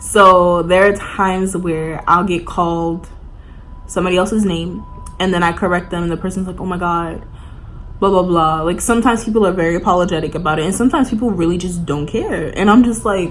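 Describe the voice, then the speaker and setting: In an American accent, a woman of medium pitch talks at a fairly quick pace, with audible room echo and noticeable background noise. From New York. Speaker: college student vlogger. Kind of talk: casual chat. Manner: casual, filler-heavy.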